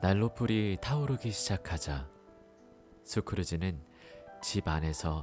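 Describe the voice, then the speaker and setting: A quiet man with a calm tone and very wide pitch swings, at a fairly slow pace over music in the background. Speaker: audiobook narrator. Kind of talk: audiobook reading for sleep. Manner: calm, quiet.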